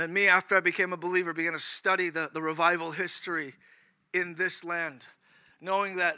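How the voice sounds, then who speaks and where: Bright and sharp in tone, a man with a high pitch moves at a fairly quick pace with fairly even intonation. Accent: American. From California. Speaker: preacher. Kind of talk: sermon. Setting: church.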